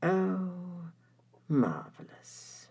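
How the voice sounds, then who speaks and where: A strained, female-sounding put-on character voice sits at a middle pitch. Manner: through gritted teeth, sarcastic and strained.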